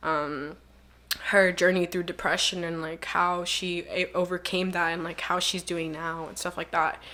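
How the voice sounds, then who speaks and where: Against noticeable background noise, a woman with a fairly low pitch speaks at a moderate pace. Her intonation is flat and monotone, while her loudness swings widely. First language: Spanish. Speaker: online magazine founder and journalist. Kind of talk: casual podcast interview. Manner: casual, filler-heavy.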